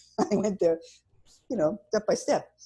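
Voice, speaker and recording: Dark, mellow and somewhat breathy, the voice moves at a fairly quick pace with lively intonation. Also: woman. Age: 70s. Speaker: cancer survivor and patient advocate. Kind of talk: interview.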